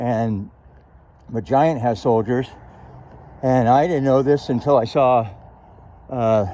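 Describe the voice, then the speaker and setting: Very slowly and with long, frequent pauses, a man speaks at medium pitch with ordinary pitch variation and a dark, mellow tone. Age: 60s. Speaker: video blogger. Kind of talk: casual narration. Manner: halting.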